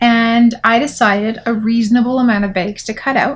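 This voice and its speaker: A woman is speaking. Her intonation is monotone and flat. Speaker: craft podcast host; sewing vlogger. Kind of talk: casual chat. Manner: halting, many fillers. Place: home room. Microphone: camera far.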